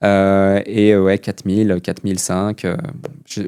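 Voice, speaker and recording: A man speaks in a fairly low voice with a dark, mellow tone. The sound is dry and close with no echo, a very clean recording with a silent background. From Switzerland. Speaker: entrepreneur. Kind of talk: podcast interview.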